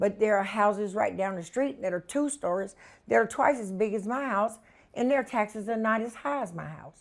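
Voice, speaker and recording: Here a woman with a Southern US accent speaks at a moderate pace in a fairly high pitch. The recording is very clean, with a silent background. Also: ordinary pitch variation. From North Carolina, Hillsborough. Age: 60s. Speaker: homeowner. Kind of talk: interview.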